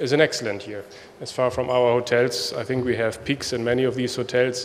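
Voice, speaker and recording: Speaking at a fairly quick pace with a German accent, the voice comes through over noticeable background noise. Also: man. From Germany. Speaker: hotel executive. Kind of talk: conference speech. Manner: halting.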